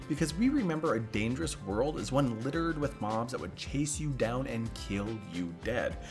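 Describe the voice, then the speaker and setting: He keeps a moderate tempo while music plays behind him. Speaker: gaming YouTuber. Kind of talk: casual talk to camera.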